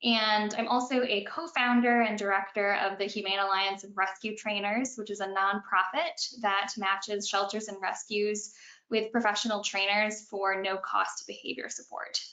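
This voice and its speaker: Delivered in a normal speaking voice, the speech moves at a moderate pace with fairly even intonation and hardly any pauses. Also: woman, medium pitch for a woman. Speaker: animal behavior consultant and trainer. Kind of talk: webinar presentation. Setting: online webinar.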